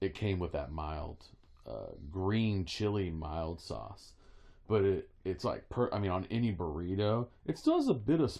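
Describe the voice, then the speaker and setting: A man with an American accent, a dark, mellow tone, lively intonation and a fairly slow pace, against a quiet background. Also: fairly low pitch for a man. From Wyoming, US. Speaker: podcast co-host. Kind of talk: casual chat.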